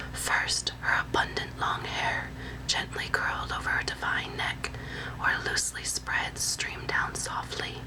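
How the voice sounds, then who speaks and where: A woman whispering in a soothing tone over noticeable background noise. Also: fairly slow pace. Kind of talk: whispered ASMR reading of a translated classical novel excerpt. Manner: whispered; soothing, relaxing.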